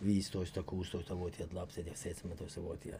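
This man's voice is somewhat breathy. His tone is dark and mellow. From Iran, Tehran. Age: 50s. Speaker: podcast guest, co-host's father, immigrant. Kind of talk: casual interview.

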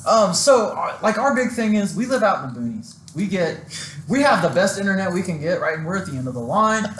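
A man with a high voice speaks at a fairly quick pace, his pitch swinging very widely, with audible room echo and noticeable background noise. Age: 20s. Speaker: car media business owner. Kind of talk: casual chat.

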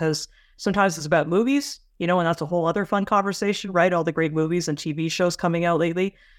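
In a Canadian accent, a woman talks very fast in a fairly low voice with fairly even intonation. The recording is very clean with a silent background. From Canada. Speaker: space journalist. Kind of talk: interview conversation.

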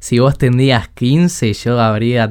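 A man talks with fairly even intonation. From Chile. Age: 20s. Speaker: podcast host. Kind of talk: casual chat.

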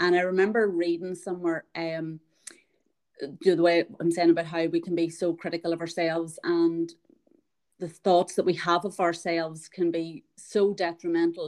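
A woman speaks with an Irish accent at a fairly low pitch. Her intonation is monotone and flat. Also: moderate pace. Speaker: podcast host. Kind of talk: casual interview chat.

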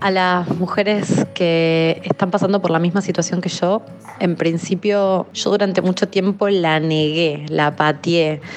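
The delivery is a monotone, flat intonation at very even loudness and a fairly slow pace. Noticeable background noise can be heard. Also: woman, fairly low pitch for a woman. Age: 30s. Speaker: communications worker. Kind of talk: testimony.

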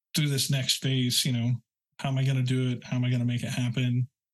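Somewhat breathy and at a medium pitch, a man speaks with an American accent in a dry, close sound with no echo. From rural Oklahoma. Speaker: web developer and architect. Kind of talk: casual interview chat.

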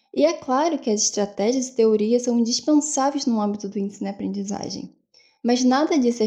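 At a fairly quick pace, a woman speaks in a high pitch with a dark, mellow tone and ordinary pitch variation. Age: 20s. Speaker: university student, podcast co-host. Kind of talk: semi-scripted educational podcast discussion.

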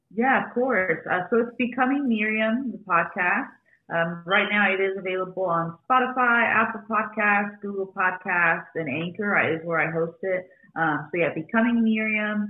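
Medium in pitch, a woman talks in a normal speaking voice that shows ordinary pitch variation. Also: moderate pace. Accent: American. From Arizona, US (Phoenix). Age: 20s. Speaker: podcaster and former makeup artist. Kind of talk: interview, personal story.

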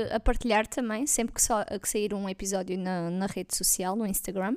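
Her pitch varies in an ordinary way as a woman talks. The recording itself is very clean, against a silent background. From Portugal, Alentejo (Vendas Novas). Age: 20s. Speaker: podcast co-host, forensic technician. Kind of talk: casual chat.

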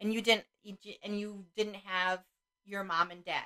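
A woman with a medium-pitched, bright, sharp voice speaks. Her pace is fairly slow. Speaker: guest co-host, host's mother. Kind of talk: casual chat.

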